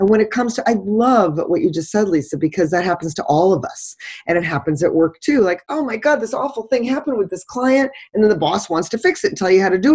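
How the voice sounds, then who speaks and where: A woman talks at a very fast pace with very wide pitch swings. Her medium-pitched voice is somewhat breathy. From New England. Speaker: author and relationship coach. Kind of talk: casual interview chat. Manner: animated.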